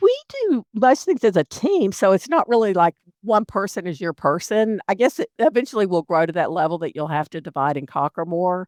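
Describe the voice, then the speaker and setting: A woman speaks with lively intonation at a medium pitch. She has an ordinary speaking voice. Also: fairly quick pace. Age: 60s. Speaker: financial advisor, firm partner. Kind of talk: interview podcast.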